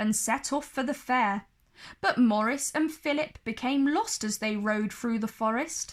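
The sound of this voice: Pitch rises and falls in an ordinary way. The voice is an unforced reading voice.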